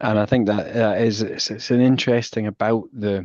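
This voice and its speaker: A man with a Scottish accent and a fairly low pitch, fairly even intonation, a moderate pace and a quiet background. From Scotland. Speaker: walking therapy researcher. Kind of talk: casual chat. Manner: halting, many restarts.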